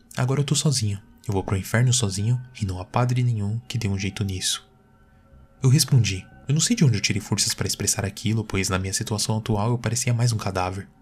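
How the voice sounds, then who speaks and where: With music in the background, a man talks at a very fast pace in a fairly low pitch. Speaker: narrator of horror stories. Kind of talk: horror story narration, first-person. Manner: changes voice for dialogue, with a cold, clipped official and a flat PA announcer.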